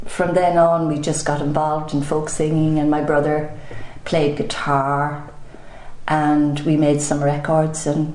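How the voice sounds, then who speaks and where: An Irish accent marks a woman's very deep, low pitch, with audible room echo and noticeable background noise. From Ireland, County Meath. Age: 60s. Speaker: singer and photographer. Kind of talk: interview.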